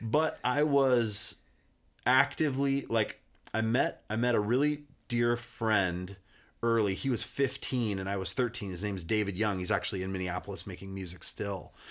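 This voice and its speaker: An unremarkable speaking voice from a man at medium pitch, with ordinary pitch variation and a moderate pace, on a very clean recording with a silent background. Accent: American. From US, rural Montana (Kalispell). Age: 40s. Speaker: musician. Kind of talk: casual chat. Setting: studio.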